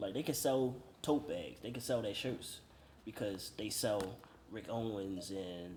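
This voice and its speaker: Amid audible room echo, a man with a somewhat breathy voice speaks at a moderate pace and medium pitch, with ordinary pitch variation. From Baltimore, Maryland (US). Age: 30s. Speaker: vintage store owner. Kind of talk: casual interview.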